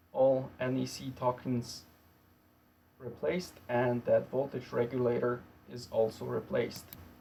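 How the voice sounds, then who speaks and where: Here a man talks with a non-native accent. His pace is fairly slow and his intonation fairly even. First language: not English. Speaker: electronics repair youtuber. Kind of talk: tutorial. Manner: halting.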